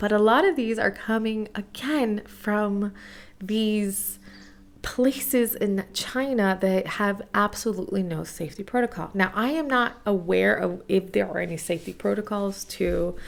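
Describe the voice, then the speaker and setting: Medium in pitch, a woman speaks at a fairly slow pace. Her pitch varies in an ordinary way. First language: not English. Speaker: podcast host, crystal reiki master. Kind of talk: casual solo podcast talk. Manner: conversational, with fillers and self-corrections.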